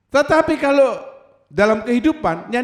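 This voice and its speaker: Lively intonation runs through a man's animated tone as he talks. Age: 70s. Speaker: pastor. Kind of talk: sermon.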